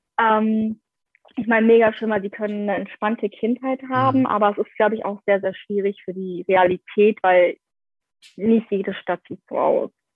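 This woman has an ordinary speaking voice. She keeps a moderate pace and ordinary pitch variation. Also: medium pitch for a woman. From Germany, Essen. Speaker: former au pair. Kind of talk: casual chat.

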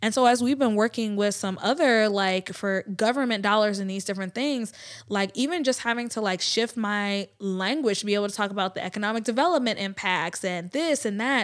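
A plain, everyday voice with an American accent, fairly quick and with hardly any pauses, ordinary pitch variation, in a very clean recording with a silent background. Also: woman, fairly high pitch for a woman. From US South. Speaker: business owner and community leader. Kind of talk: casual interview chat.

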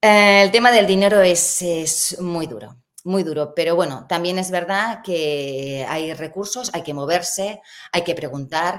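A woman's normal speaking voice at a fairly slow pace, with ordinary pitch variation and big swings in loudness. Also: fairly low pitch for a woman. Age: 50s. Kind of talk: interview.

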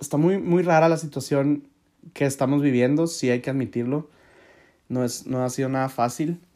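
A man speaks in a dark, mellow tone at a moderate pace, with ordinary pitch variation. The recording is very clean, with a silent background. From Mexico, Hermosillo, Sonora. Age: 20s. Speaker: podcast host. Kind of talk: casual monologue.

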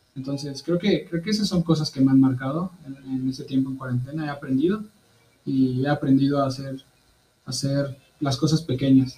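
A man talks at a moderate pace in a fairly high, somewhat breathy voice, dark and mellow in tone, with fairly even intonation. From Mexico, Veracruz. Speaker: missionary. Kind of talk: interview.

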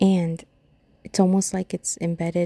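A woman with an American accent and a dark, mellow tone speaks at a fairly low pitch and a moderate pace, in a dry, close sound with no echo on a very clean recording with a silent background. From Rhode Island, US Northeast. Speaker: podcast host. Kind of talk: casual monologue.

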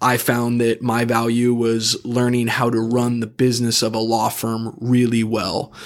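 A man at a medium pitch speaks at a fairly slow pace with hardly any pauses and a monotone, flat intonation. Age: 30s. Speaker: personal injury attorney. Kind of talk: casual chat.

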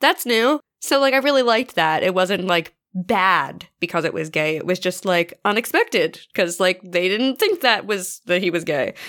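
In a normal speaking voice, a woman at medium pitch talks at a moderate pace with lively intonation and hardly any pauses. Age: 20s. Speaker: podcast host. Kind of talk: casual chat.

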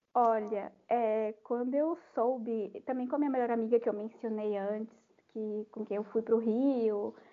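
A woman's fairly high voice at a moderate pace. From Brazil, Salvador (Bahia). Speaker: podcast guest, music fan. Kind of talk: casual chat. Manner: animated.

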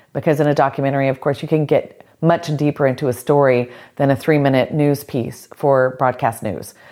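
A woman with an American accent speaks at a very deep, low pitch, using fairly even intonation. She moves at a fairly quick pace with hardly any pauses, on a very clean recording with a silent background. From US South, Georgia. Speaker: film editor and storyteller. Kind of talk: interview. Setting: at home.

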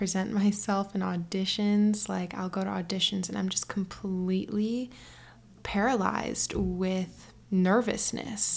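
A woman speaks at a medium pitch in a relaxed tone. Her voice is somewhat breathy. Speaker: podcast host. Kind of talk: solo monologue, casual personal reflection. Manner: slow, relaxed talker.

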